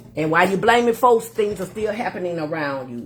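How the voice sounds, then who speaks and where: With an American accent and an animated tone, a woman talks at a fairly quick pace with very wide pitch swings over noticeable background noise. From Florida, Miami. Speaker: livestream host. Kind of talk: casual livestream talk.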